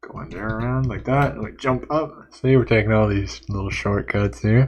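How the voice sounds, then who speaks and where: With big swings in loudness, a man talks at a fairly low pitch and ordinary pitch variation. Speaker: game developer and streamer. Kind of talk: live stream gameplay commentary. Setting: live stream. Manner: fast.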